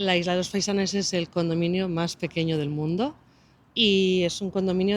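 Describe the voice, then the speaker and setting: In a Basque accent, a woman speaks at a fairly low pitch in a very clean recording with a silent background. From Basque Country. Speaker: local guide. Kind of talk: explanation in Spanish; casual chat.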